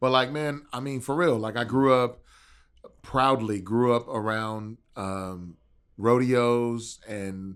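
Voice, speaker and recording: A man speaks at a very slow pace in a medium pitch. His pitch variation is ordinary, with an American accent. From Texas, raised near Houston. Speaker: rapper. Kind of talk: casual interview chat. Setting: studio. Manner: animated.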